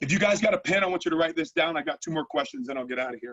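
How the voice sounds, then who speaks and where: Pitch leaps over a very wide range. The voice belongs to a man. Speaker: leadership coach. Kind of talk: motivational talk. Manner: fast; halting.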